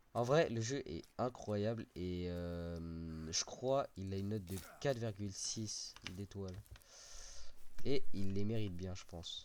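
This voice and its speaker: Very slowly, a man with a fairly low pitch speaks with ordinary pitch variation and big swings in loudness. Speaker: gaming youtuber. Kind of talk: let's play commentary. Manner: animated.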